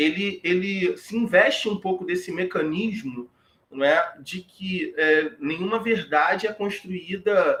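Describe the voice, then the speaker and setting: At a very slow pace, a man with a high voice speaks with lively intonation. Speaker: history professor. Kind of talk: lecture. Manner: halting.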